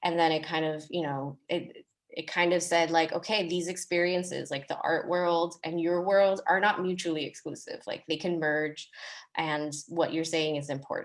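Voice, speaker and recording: A woman with an unremarkable speaking voice talks at a moderate pace. Her fairly low pitch stays in a fairly even intonation. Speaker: artist and arts educator. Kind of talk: panel discussion on video call.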